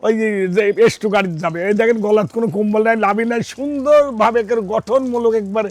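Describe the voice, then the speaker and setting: A high-pitched man with fairly even intonation, over noticeable background noise. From Bangladesh, Pabna (Ishwardi). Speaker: cattle farmer and dealer. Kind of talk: casual sales pitch on a farm.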